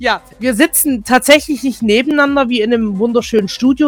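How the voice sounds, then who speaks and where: Her voice high and showing ordinary pitch variation, a woman speaks at a fairly quick pace in a dry, close sound with no echo. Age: 20s. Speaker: webradio host and podcaster. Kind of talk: casual chat. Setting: remote call.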